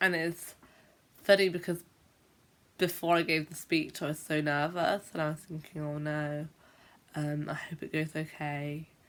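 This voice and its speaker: On a very clean recording with a silent background, a woman speaks at a very deep, low pitch with monotone, flat intonation and long, frequent pauses. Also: moderate pace. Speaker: teacher who stammers, video blogger. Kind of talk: vlog monologue. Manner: stammers.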